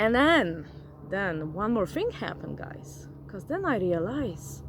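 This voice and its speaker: Her pace is moderate. The woman speaks with a non-native accent. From grew up in a forest region abroad. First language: not English. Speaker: vlogger, former flight attendant. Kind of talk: casual vlog monologue. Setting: outdoors. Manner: animated.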